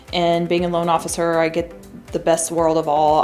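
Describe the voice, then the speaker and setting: Faint music plays behind a woman with an American accent whose fairly low voice stays monotone and flat. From US Midwest, mid-Missouri. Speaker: mortgage loan officer. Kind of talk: promotional interview. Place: studio.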